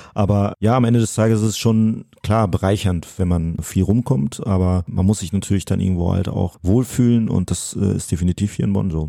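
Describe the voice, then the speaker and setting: Man with a fairly low pitch, ordinary pitch variation, hardly any pauses and noticeable background noise. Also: moderate pace. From Münsterland, Germany. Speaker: wheelchair racer. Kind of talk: casual interview.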